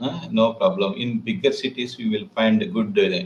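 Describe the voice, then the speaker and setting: Somewhat breathy, a man speaks at a medium pitch and a fairly slow pace. His pitch swings very widely. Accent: Indian. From southern India, Telangana. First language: Telugu. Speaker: English learner. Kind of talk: casual chat. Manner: halting.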